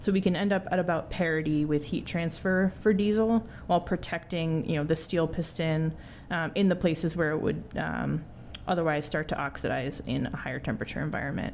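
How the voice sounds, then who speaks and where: With an American accent, a woman speaks at a fairly quick pace and fairly low pitch, showing vocal fry and ordinary pitch variation. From US Midwest (Wisconsin). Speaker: engineer and startup co-founder. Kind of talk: interview.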